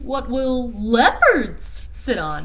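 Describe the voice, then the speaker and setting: A put-on character voice. Noticeable background noise is present. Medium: read story.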